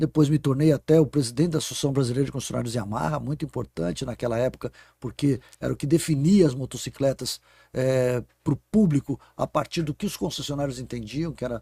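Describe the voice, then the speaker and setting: A man's somewhat breathy, medium-pitched voice with a dark, mellow tone, ordinary pitch variation, a fairly quick pace and a dry, close sound with no echo. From Brazil, São Paulo state (Guarulhos). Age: 60s. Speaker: innovation executive and professor. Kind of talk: podcast interview.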